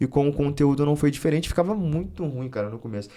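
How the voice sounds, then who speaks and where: Lively intonation runs through this man's speech. He talks at a very fast pace. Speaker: wrestling coach and content creator. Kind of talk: interview conversation. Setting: studio.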